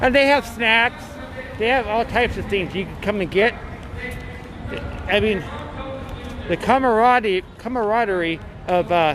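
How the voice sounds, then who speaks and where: Over noticeable background noise, a man with a high pitch talks at a moderate pace with ordinary pitch variation and long, frequent pauses. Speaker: protest livestreamer. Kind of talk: casual vlog narration at protest. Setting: outdoors at street protest. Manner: rambling, halting with fillers.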